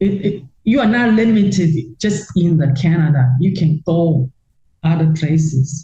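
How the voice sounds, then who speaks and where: Lively intonation and a dark, mellow tone come through in a somewhat breathy delivery at a fairly slow pace with very even loudness. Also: woman, fairly low pitch for a woman. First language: not English. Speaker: retired real-estate investor. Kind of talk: interview. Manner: halting, many repetitions.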